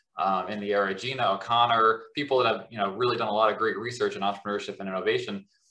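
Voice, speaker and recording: Very fast with hardly any pauses, this voice has a bright, sharp tone and fairly even intonation against a quiet background. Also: man. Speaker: professor. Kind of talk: academic interview and Q&A. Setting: video call. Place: home room. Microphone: webcam.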